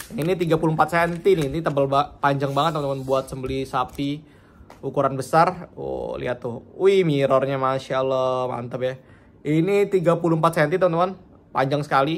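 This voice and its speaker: A man talks with ordinary pitch variation. He has an unremarkable speaking voice. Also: fairly high pitch for a man, moderate pace. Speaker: knife seller. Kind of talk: street seller pitch. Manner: upbeat, chatty, casual. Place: home room. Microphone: phone near.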